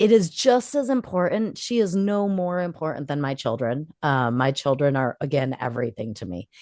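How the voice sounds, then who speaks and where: The voice is loud. Its pitch swings very widely. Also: woman, very deep, low pitch for a woman, moderate pace. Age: 40s. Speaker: podcast co-host. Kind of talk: casual chat.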